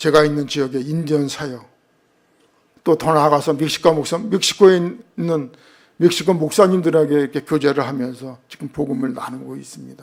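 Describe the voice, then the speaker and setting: A man talks at a fairly quick pace and fairly high pitch, with ordinary pitch variation and big swings in loudness. Long, frequent pauses break up his speech. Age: 60s. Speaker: missionary. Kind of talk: sermon. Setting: church.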